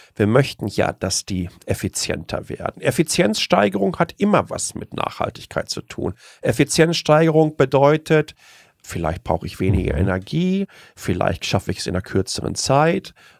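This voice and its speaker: A man's fairly high voice with vocal fry and very wide pitch swings, at a moderate pace, in a dry, close sound with no echo. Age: 40s. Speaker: tech blogger and communicator. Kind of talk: interview.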